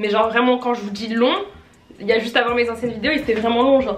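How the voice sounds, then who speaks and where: A woman speaks with a high pitch. Room echo is audible, along with noticeable background noise. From France. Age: 20s. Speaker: fashion YouTuber. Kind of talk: unboxing vlog. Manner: casual, filler-heavy.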